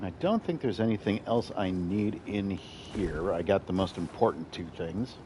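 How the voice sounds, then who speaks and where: Hardly pausing, a man speaks at a fairly low pitch. His tone is dark and mellow. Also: ordinary pitch variation, moderate pace. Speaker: gaming streamer. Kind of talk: live gameplay commentary. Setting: home apartment, streaming late at night. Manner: quieter than usual.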